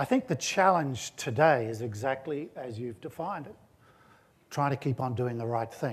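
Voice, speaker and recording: Somewhat breathy, this man's voice comes through clearly. He speaks with an Australian accent. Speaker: corporate CEO. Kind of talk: on-stage interview.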